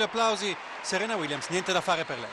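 A man's high-pitched voice, dry with no echo, over crowd noise in the background. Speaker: TV sports commentator. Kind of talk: live sports commentary. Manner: fast, clipped, excitable play-by-play; reactive, drops to a concerned tone at the injury.

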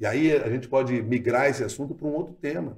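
This man talks at a moderate pace in a medium pitch, sounding somewhat breathy. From southern Brazil, Porto Alegre. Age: 50s. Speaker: radio journalist and news anchor. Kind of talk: casual interview.

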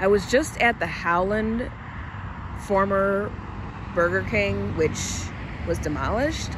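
Noticeable background noise surrounds a woman talking at a fairly slow pace, in a dry sound with no echo. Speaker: urban exploration vlogger. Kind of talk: casual vlog chat. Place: street. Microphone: phone near.

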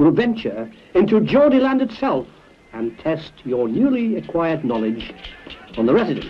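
A man's voice moves in very wide pitch swings. Noticeable background noise runs behind him. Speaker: author. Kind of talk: comic mock language-lesson narration.

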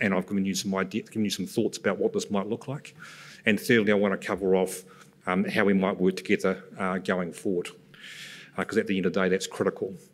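The speech rushes by at a very fast pace. The intonation stays flat and monotone. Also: man, fairly low pitch for a man. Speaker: presenter. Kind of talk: conference presentation. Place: stage. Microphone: podium.

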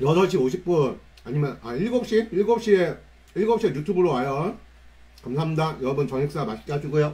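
This man's intonation rises and falls in a lively way. He talks neither fast nor slow, at a moderate pace. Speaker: delivery rider livestreamer. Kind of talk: casual livestream chat. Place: home room.

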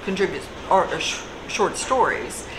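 A woman speaks over noticeable background noise. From Kentucky. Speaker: writer and journalist, recovered addict; interviewee. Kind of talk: interview. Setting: cafe. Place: cafe. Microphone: camera far.

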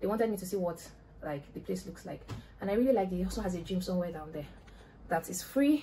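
Light background noise accompanies a woman whose pitch varies in an ordinary way. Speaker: vlogger. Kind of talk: casual vlog chat. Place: home room. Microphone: phone near.

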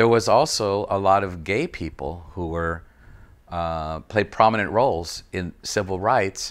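An American accent at a moderate pace, with ordinary pitch variation. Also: man. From East Los Angeles. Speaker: artist. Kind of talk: interview answer. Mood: reflective, thoughtful. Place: home room.

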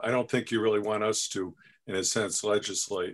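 A man speaking, with a quiet background. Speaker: board member. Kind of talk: committee meeting. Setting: video call. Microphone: video call.

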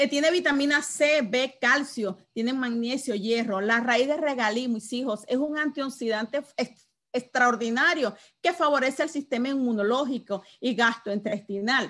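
At a fairly slow pace, a woman speaks in a high voice. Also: ordinary pitch variation. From Venezuela. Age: 50s. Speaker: network marketing distributor; sales trainer. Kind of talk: product training presentation. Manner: animated. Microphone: video call.

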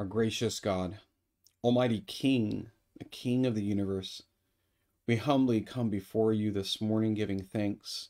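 Against a quiet background, a man speaks at a fairly slow pace with long, frequent pauses and fairly even intonation. His voice sits at a fairly low pitch with a warm, dark, mellow tone. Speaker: priest. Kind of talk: fervent prayer, earnest and heartfelt, addressed to God; morning prayer service, liturgical reading and prayer. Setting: online video broadcast. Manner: earnest, warm, slow and pausing with fillers. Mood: calm, reverent. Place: home room.

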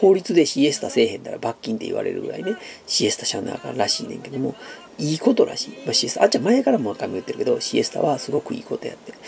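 A man speaking at a very fast pace over light background noise. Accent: Kansai. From Japan. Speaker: YouTuber. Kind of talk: casual chat. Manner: hesitant with many fillers. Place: home room. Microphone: phone near.

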